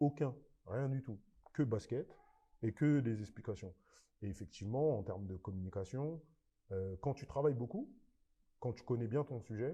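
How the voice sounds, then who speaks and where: A man with a dark, mellow, somewhat breathy voice speaks at a medium pitch and a moderate pace, with lively intonation. His loudness swings widely, and he takes long, frequent pauses. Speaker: basketball coach. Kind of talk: podcast interview. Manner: animated.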